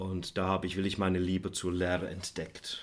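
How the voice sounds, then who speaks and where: This voice belongs to a man. It sits very deep and low in pitch. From England, near Manchester; teenage years onward in Switzerland. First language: English (speaking German). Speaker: economics professor. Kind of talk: interview.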